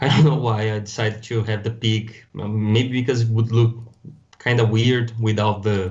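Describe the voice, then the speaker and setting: A man's medium-pitched, somewhat breathy voice in a Brazilian accent, monotone and flat, at a moderate pace. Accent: Brazilian Portuguese accent, noticeable. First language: Portuguese. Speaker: toy designer and customizer. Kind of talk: podcast interview. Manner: halting.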